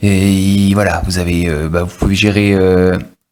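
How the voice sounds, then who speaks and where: A man is speaking. His pitch sits fairly low. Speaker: tech reviewer. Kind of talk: product review tutorial. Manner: hesitant, many fillers.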